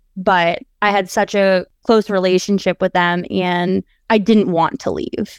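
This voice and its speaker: A woman speaks at a fairly slow pace and a medium pitch, her intonation fairly even, in a dry, close recording with no echo that is very clean against a silent background. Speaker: paralegal. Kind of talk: interview. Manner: confident.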